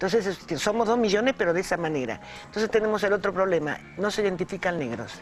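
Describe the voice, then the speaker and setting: Music plays in the background as a woman talks at a very fast pace and medium pitch with lively intonation. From Argentina. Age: 60s. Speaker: Afro-Argentine activist. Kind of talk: panel discussion. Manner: halting.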